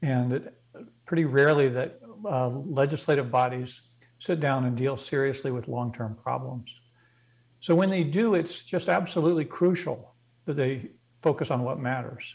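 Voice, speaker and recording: At a moderate pace, a man speaks with an American accent in a somewhat breathy voice. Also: fairly high pitch for a man, ordinary pitch variation. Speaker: energy policy expert. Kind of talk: interview.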